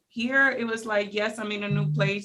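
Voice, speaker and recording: A woman's voice of medium pitch. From Spanish-speaking country, moved to US as teenager. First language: Spanish. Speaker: small business owner. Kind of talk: podcast interview, personal story. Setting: studio.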